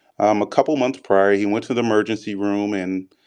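Against a quiet background, a man with an unremarkable speaking voice talks at a moderate pace in a medium pitch, with an American accent. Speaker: physician.

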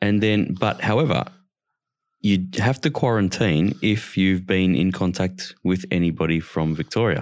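With an Australian accent, a man talks at a fairly slow pace. His pitch is very deep and low, and his loudness stays very even. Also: ordinary pitch variation. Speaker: podcast co-host. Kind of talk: casual political chat. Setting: online recording platform.

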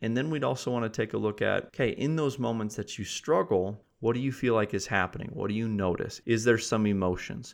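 A man speaks very fast in an American accent, his pitch medium and its variation ordinary. The background is quiet. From US Midwest, South Dakota. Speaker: mental performance coach. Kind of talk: podcast interview.

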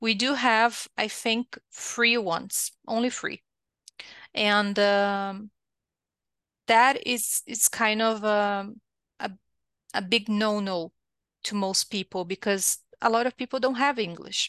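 A woman speaks very slowly, with long, frequent pauses and fairly even intonation at a fairly high pitch. The sound is dry and close with no echo, and the background is quiet. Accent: Brazilian. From southern Brazil. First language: Portuguese. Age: 30s. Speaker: technical writer. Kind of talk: interview.

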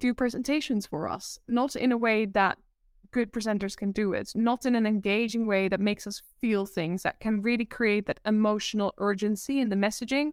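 This woman's voice sits at a fairly high pitch with ordinary pitch variation. The sound is dry and close with no echo, in a very clean recording with a silent background. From Netherlands. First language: Dutch. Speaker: presentation coach. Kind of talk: interview. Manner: giggly; sometimes fast.

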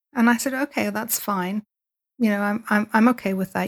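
Recorded very clean with a silent background and a dry, close sound with no echo, a woman with a Dublin accent speaks at medium pitch with fairly even intonation. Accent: Irish (Dublin). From Ireland, Dublin. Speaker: entrepreneur and podcast host. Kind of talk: interview conversation.

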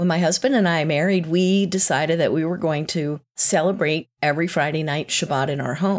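A woman with an ordinary speaking voice talks at a fairly quick pace and fairly low pitch, with ordinary pitch variation and hardly any pauses. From US South, North Carolina. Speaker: executive coach. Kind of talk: interview.

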